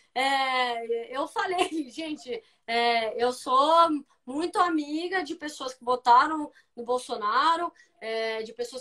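Very slowly, a woman speaks at a high pitch in a bright, sharp tone, with lively intonation and big swings in loudness. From Brazil, São Paulo state interior (Aguaí/Campinas). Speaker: professional football goalkeeper. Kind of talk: casual interview. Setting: Instagram live video stream.

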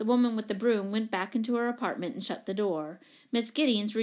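Simple reading aloud, nothing more

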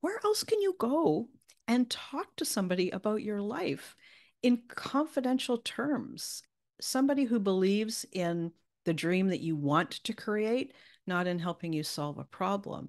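In a quiet background, a woman talks at a fairly slow pace with very wide pitch swings. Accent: Canadian. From Canada. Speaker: business coach. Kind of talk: casual interview chat.

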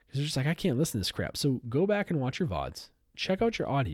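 On a very clean recording with a silent background, a somewhat breathy man of fairly high pitch speaks at a fairly quick pace with very wide pitch swings. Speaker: streamer and podcast host. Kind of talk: casual rant show. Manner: animated, conversational.

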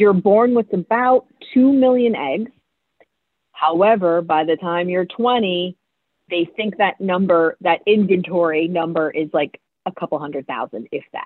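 With an ordinary speaking voice, a woman talks at a fairly slow pace and a medium pitch. Her intonation is lively. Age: 40s. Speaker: financial planner. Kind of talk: casual chat.

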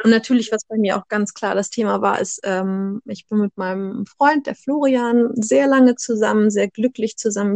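A woman with a normal speaking voice and fairly high pitch talks at a moderate pace with hardly any pauses and ordinary pitch variation, in a dry, close sound with no echo. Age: 30s. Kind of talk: casual chat.

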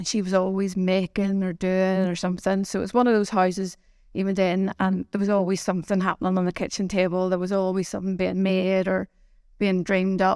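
The recording is very clean with a silent background. A woman with a Belfast accent speaks at a medium pitch in a monotone, flat intonation. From Northern Ireland, Belfast. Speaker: business owner. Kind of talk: interview.

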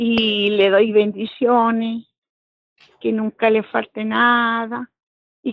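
A woman speaks with a Chilean accent in a fairly high pitch. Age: old. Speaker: church member. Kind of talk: casual chat.

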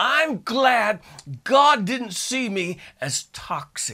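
In a raised, projected voice, a man talks with a bright, sharp tone, lively intonation and an animated manner. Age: 50s. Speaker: pastor. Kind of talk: sermon.

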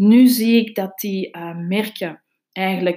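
A woman with a Flemish accent talks at a very slow pace and a medium pitch, her tone dark and mellow. The recording is very clean, with a silent background. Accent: Flemish Dutch. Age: 40s. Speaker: podcast host, social media consultant. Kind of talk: solo podcast talk on business tips.

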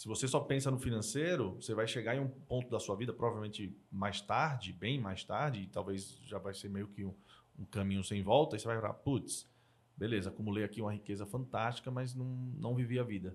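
Over a silent background in a very clean recording, a man of medium pitch talks fairly quickly in a plain, everyday voice. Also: ordinary pitch variation. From Brazil, Northeast (Maceió, Alagoas). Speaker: entrepreneur and angel investor. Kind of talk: casual interview chat.

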